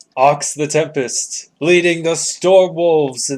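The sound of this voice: A man's put-on character voice, fairly high-pitched, with fairly even intonation at a fairly slow pace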